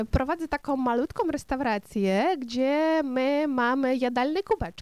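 In a Ukrainian accent, a woman talks at a very slow pace with a high pitch and ordinary pitch variation. The sound is dry and close, with no echo. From western Ukraine. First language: Ukrainian (speaking Polish). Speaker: restaurant owner and radio presenter. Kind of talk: interview with children.

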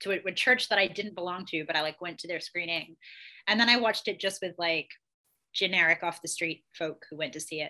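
A woman speaks with a bright, sharp tone. Her pitch is fairly low and varies in an ordinary way. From England and Australia. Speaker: former tarot card reader. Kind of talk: casual chat. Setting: video call.

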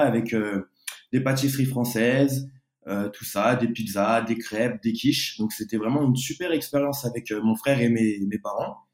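At a moderate pace, a man talks in a plain, everyday voice of medium pitch, with fairly even intonation. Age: 20s. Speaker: pastry chef. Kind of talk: interview.

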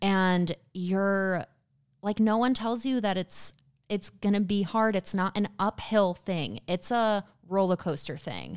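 A woman's medium-pitched voice at a very slow pace, ordinary pitch variation, dry and close with no echo, on a very clean recording with a silent background. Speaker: podcast co-host. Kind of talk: casual chat. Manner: upbeat, chatty.

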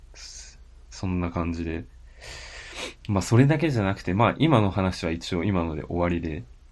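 This man's voice has a very deep, low pitch and lively intonation. He talks at a moderate pace with long, frequent pauses. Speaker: podcast co-host. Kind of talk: casual chat.

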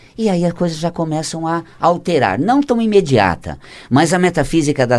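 The recording is very clean, with a silent background. A man talks at a fairly slow pace. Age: 50s. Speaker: author on metaphysics of health. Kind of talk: casual interview. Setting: studio. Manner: laughs often.

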